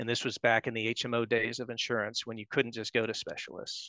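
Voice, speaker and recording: With an American accent, a man talks at a fairly quick pace in a dry sound with no echo against a quiet background. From US, Pittsburgh area. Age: 50s. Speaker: patient. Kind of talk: testimony. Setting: video call. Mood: calm, earnest. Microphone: headset.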